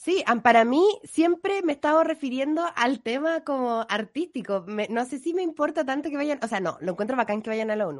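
Hardly pausing, a woman speaks at a moderate pace in a high pitch with very wide pitch swings against a quiet background. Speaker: radio podcast host. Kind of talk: casual chat.

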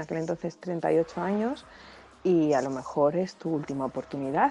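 At a moderate pace, a woman with a fairly low pitch and a dark, mellow tone speaks with lively intonation. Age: 30s. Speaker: listener sending voice message. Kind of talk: personal testimony.

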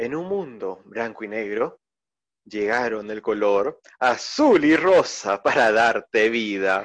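The man's intonation is lively. He talks at a very slow pace. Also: medium pitch for a man. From Peru. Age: 20s. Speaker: podcast co-host. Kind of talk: casual chat.

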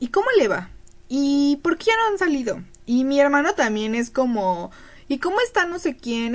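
A woman is speaking. Her intonation is lively. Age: 20s. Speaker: podcast co-host. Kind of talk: casual chat.

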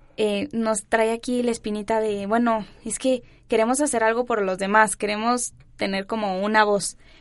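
A woman with a fairly high pitch talks at a moderate pace in monotone, flat intonation. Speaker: university student council president. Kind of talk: casual chat. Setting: studio.

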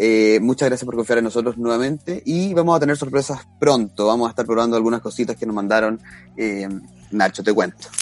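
With noticeable background noise behind him, a man speaks fairly quickly with ordinary pitch variation. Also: medium pitch for a man. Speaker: podcast co-host. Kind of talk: casual chat.

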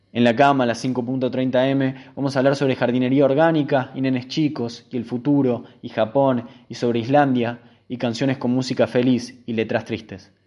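In a quiet background, a man speaks at a medium pitch with a dark, mellow tone and monotone, flat intonation. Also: moderate pace. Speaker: radio host. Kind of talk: reading aloud.

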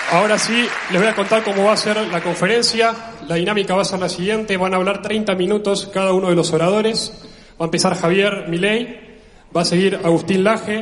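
Amid noticeable background noise and audible room echo, a man speaks fairly quickly in a high, flat monotone. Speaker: event organizer. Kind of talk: event announcements. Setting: stage with audience.

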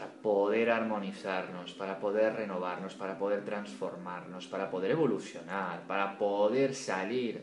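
A man speaks at a fairly slow pace and fairly low pitch, with ordinary pitch variation and hardly any pauses. Audible room echo and noticeable background noise fill the recording. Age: 40s. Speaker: podcast host. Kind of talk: casual chat. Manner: animated.

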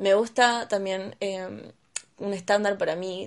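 This woman talks at a fairly slow pace in a Rioplatense accent. Her pitch sits in the medium range. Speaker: podcast co-host. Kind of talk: casual chat.

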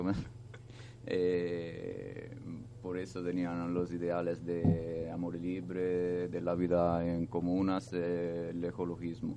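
A man with an Italian accent speaks very slowly in a very deep, low pitch. His intonation is flat and monotone, with audible room echo. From Italy. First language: Italian (speaking Spanish). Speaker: European volunteer, radio contributor. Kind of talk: casual radio chat. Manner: halting.

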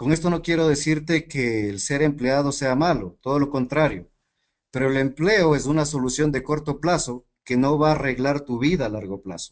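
A man's fairly high pitch with ordinary pitch variation, at a moderate pace. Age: 30s. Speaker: network marketing team leader. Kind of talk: motivational training talk.

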